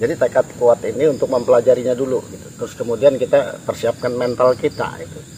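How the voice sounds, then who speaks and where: With a slight Jakarta accent, a man races along at a very fast pace with hardly any pauses and big swings in loudness, over noticeable background noise. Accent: Betawi accent, slight. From Jakarta, Betawi. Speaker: paranormal explorer, video host. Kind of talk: casual spiritual talk to camera. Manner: hesitant, many fillers.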